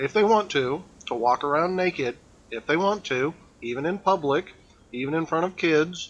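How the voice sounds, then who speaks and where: The words are mumbled. The pitch moves in an ordinary way. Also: man, fairly high pitch for a man, moderate pace. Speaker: game streamer. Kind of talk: live gameplay stream chat. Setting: live stream. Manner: mumbling. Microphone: old mic, too quiet.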